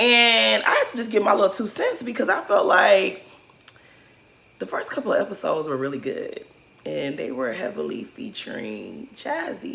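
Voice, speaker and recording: There is audible room echo and noticeable background noise as a woman speaks in an animated tone. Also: moderate pace. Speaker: reality TV commentary youtuber. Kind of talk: casual recap commentary. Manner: animated, chatty.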